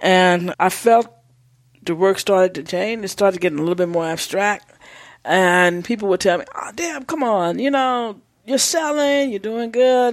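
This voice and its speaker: A woman speaks in a normal speaking voice at medium pitch, with lively intonation and a moderate pace. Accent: American. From Texas. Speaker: visual artist. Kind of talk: interview.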